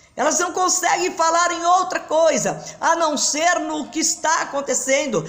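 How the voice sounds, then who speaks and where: A woman with an extremely high pitch talks at a fairly slow pace with ordinary pitch variation over noticeable background noise. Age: 60s. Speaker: pastor. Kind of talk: sermon. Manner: halting.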